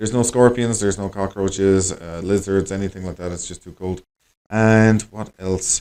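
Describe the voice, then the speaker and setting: A man with an Irish accent, dark and mellow in tone, monotone and flat, at a moderate pace, on a very clean recording with a silent background. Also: fairly low pitch for a man, big swings in loudness. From Ireland. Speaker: English teacher and language school director. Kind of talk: conversation practice monologue for learners. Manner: casual, conversational with many fillers.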